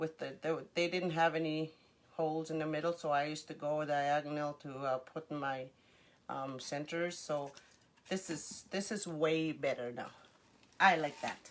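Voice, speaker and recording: A woman speaks in a very deep, low voice. Her intonation stays fairly even. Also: moderate pace. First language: Cree. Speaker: crafter. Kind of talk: live craft tutorial. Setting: livestream. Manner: halting, many fillers; chatty.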